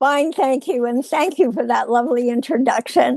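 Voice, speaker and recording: A woman's high voice comes through dry and close, with no echo at all. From Canada. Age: 80s+. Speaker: author and former healthcare CEO. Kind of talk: interview.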